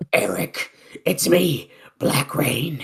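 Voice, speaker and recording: A strained, put-on character voice sits at a middle pitch. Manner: creepy, strained.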